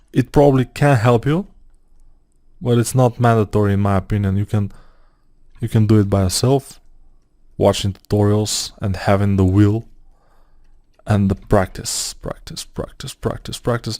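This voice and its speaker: A man speaks at a moderate pace in a fairly low pitch, his tone dark and mellow. Long pauses come often. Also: ordinary pitch variation, very clean recording, silent background. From Bulgaria. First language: Bulgarian. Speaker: 3D modeling tutor. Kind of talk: tutorial. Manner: casual, halting with fillers.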